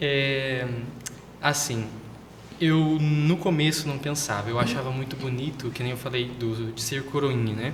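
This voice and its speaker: Fairly slow speech with fairly even intonation comes through audible room echo and noticeable background noise. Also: man, medium pitch for a man. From southern Brazil (Paraná). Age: 20s. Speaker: seminarian. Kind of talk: interview.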